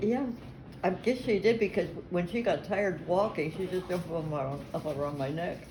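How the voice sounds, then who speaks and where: Speaking in an American accent over noticeable background noise, a woman uses a fairly low pitch and lively intonation. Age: 80s+. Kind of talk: family storytelling interview.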